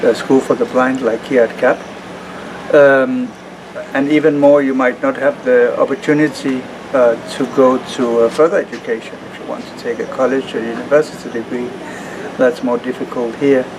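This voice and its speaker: The speaker keeps a moderate pace and fairly even intonation, with big swings in loudness. Noticeable background noise runs throughout. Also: man, medium pitch for a man. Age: 40s. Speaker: project manager at a blind association. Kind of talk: interview. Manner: hesitant, many fillers.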